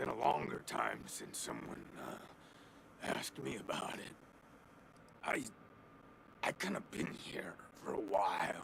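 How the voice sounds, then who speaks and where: In a raspy, put-on character voice, a man talks at a fairly slow pace with long, frequent pauses over clear background noise. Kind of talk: stoner slang. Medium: video game. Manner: rambling, hesitant, laid-back.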